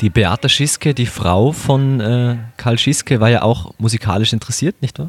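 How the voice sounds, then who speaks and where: The sound is dry and close, with no echo. An unremarkable speaking voice goes at a moderate pace, its pitch varying in an ordinary way. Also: man, medium pitch for a man. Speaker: podcast host. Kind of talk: casual interview. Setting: Viennese coffee house.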